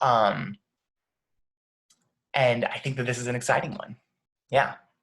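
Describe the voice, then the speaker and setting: Vocal fry runs through this man's medium-pitched voice as he talks at a moderate pace with ordinary pitch variation. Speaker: nonprofit founder. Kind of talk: video call discussion.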